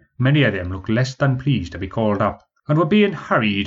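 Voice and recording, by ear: Against a quiet background, lively intonation colors this reading aloud in a natural voice.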